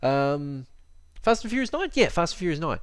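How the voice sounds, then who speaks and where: This man speaks with an Australian accent, his pitch swinging very widely. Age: 30s. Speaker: fitness podcaster. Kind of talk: solo podcast monologue. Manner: halting, many fillers.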